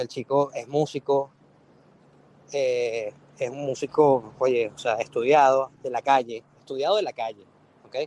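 With a Venezuelan accent, a man speaks fairly slowly at a medium pitch with fairly even intonation and long, frequent pauses, the sound dry and close with no echo. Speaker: record label A&R director. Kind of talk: casual chat. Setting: online audio room. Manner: halting, many repetitions.

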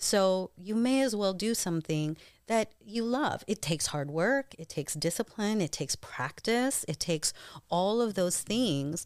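A normal speaking voice with an American accent, on a very clean recording with a silent background. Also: woman, medium pitch for a woman, lively intonation, fairly slow pace. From US Pacific Northwest, Eastern Washington. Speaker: actress and stage performer. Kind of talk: casual interview chat. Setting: studio.

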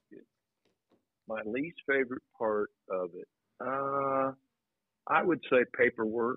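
A man speaks at a very slow pace with an American accent, his pitch medium and its variation ordinary. His loudness swings widely, broken by long, frequent pauses. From Indiana, Anderson. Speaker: high school basketball coach. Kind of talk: interview.

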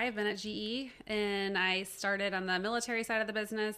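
With a Midwestern American accent, a woman speaks at a fairly quick pace in a fairly high pitch, her tone bright and sharp and her intonation monotone and flat. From Cincinnati, Ohio, US Midwest. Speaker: corporate marketing and supply chain manager. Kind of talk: podcast interview. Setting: studio.

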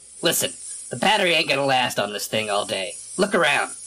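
A man rattles off a put-on character voice at a very fast pace, fairly high in pitch with very wide pitch swings. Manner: gruff, irritable, sarcastic.

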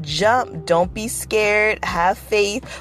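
This woman sounds animated. Her voice carries vocal fry. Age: 40s. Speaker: vlogger and former nanny. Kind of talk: casual monologue vlog.

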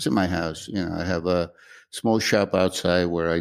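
A man speaks at a moderate pace in a very deep, low pitch with fairly even intonation. The recording is very clean, with a silent background. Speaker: musician and luthier. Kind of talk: casual interview chat.

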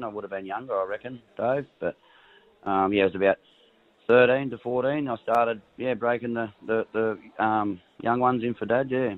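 With a rural Australian accent, a man talks at a moderate pace and medium pitch, his intonation fairly even. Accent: Australian, country. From rural New South Wales, Australia. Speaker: racehorse trainer. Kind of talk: casual interview chat. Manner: relaxed, casual.

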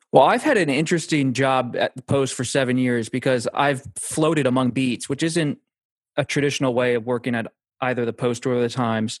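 A man with an American accent speaks in a plain, everyday voice at medium pitch and a fairly quick pace. His intonation stays fairly even, and the sound is dry and close with no echo. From Pennsylvania. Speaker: political journalist. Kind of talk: interview.

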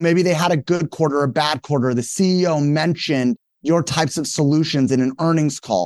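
Energetic and fairly quick, a man talks in a fairly high voice with ordinary pitch variation and very even loudness, the sound dry and close with no echo on a very clean recording with a silent background. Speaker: company founder and CEO. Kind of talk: interview conversation.

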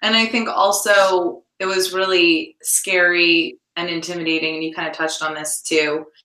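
With an unremarkable speaking voice, a woman talks at a moderate pace with hardly any pauses, fairly low in pitch and with fairly even intonation. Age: 30s. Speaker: actress and TV series creator. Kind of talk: interview.

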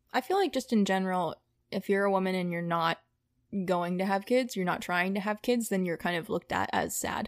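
At a fairly quick pace, a woman talks in a normal speaking voice with a medium pitch. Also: ordinary pitch variation, dry, close sound with no echo, very clean recording, silent background. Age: 20s. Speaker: podcast guest sharing personal story. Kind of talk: casual interview chat.

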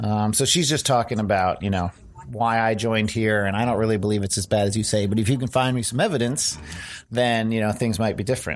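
The speech comes very fast, with very even loudness and ordinary pitch variation. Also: man, fairly low pitch for a man. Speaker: game developer. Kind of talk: game demo interview.

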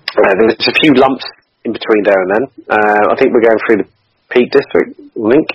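Speaking at a fairly quick pace with long, frequent pauses, a man keeps a medium pitch and fairly even intonation. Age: 40s. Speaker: charity cyclist and Air Force veteran. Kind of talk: interview.

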